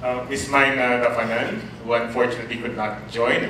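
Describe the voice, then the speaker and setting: A man speaks in a monotone, flat intonation. Audible room echo and light background noise accompany him. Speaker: university lecturer. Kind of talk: lecture. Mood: warm, lightly humorous. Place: classroom.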